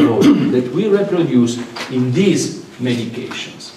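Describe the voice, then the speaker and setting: A man speaks at a fairly slow pace with lively intonation. The room echo is audible and background noise is noticeable. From Italy. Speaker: medical lecturer. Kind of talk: lecture. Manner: animated.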